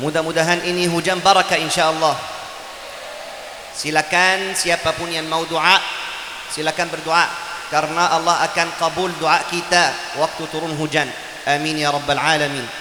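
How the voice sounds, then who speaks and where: A man speaks in a fairly high, flat monotone at a moderate pace, with long and frequent pauses, audible room echo and noticeable background noise. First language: Arabic (speaking Indonesian). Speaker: Quran teacher and preacher. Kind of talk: sermon. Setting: religious gathering, raining.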